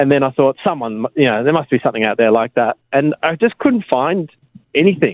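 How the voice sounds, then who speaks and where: A man with an Australian accent talks at a moderate pace, his pitch fairly high. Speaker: app co-founder. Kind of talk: radio interview. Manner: mumbling.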